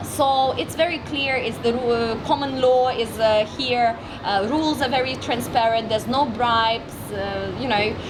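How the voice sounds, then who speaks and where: A woman with a Russian accent at a high pitch and moderate pace, hardly any pauses, with audible room echo and noticeable background noise. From Russian Far East, Vladivostok. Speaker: entrepreneur and marketing expert. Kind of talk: interview. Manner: loud; energetic.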